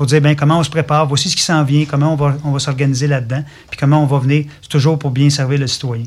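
Very fast speech comes from a man with a fairly high pitch. His intonation is monotone and flat. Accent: Quebec. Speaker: fire department director. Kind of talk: radio interview.

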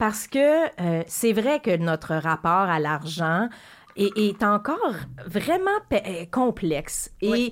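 A woman with a Quebec accent, very slow with long, frequent pauses, very wide pitch swings and very even loudness. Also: medium pitch for a woman. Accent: Québécois French. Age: 40s. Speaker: radio host. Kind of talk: radio interview.

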